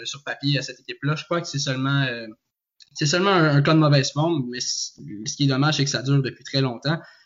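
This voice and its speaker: The speaker is a man with a fairly high voice. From Quebec, Joliette. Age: 20s. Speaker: student and football fan panelist. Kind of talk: casual sports discussion. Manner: halting, many repetitions.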